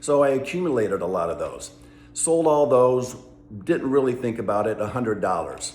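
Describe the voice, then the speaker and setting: The man's voice sits at a medium pitch with lively intonation. Audible room echo surrounds it. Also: moderate pace. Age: 60s. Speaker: travel vlogger. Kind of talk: casual vlog monologue. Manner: conversational, many fillers.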